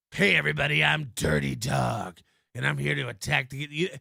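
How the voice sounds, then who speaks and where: Putting on a character voice, a man speaks at a moderate pace in a very deep, low, raspy voice with a menacing, theatrical tone. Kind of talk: voiceover. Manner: over-the-top, menacing, theatrical.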